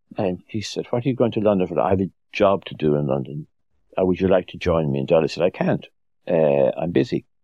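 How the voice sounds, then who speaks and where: Using a very deep, low pitch with vocal fry, a man with an Irish accent speaks at a very fast pace with lively intonation. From Ireland. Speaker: author. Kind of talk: interview. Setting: studio.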